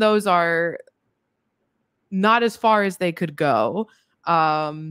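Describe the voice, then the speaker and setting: A woman's fairly low pitch with ordinary pitch variation, dry sound with no echo and a quiet background. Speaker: podcast guest. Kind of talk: interview answer. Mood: critical, occasionally laughing. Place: home room. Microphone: studio mic.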